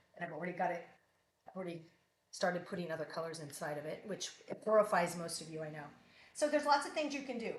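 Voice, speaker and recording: A woman's very fast delivery with long, frequent pauses, a fairly low pitch, very wide pitch swings, and big swings in loudness, in audible room echo. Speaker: artist. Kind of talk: live art demonstration. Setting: live stream. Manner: casual, chatty.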